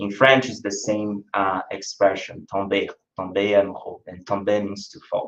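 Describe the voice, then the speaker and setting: Here a man speaks in a Brazilian accent with a fairly low pitch. His intonation is monotone and flat, at a moderate pace. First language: Brazilian Portuguese. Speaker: spiritist lecturer. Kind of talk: lecture. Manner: hesitant, with frequent fillers.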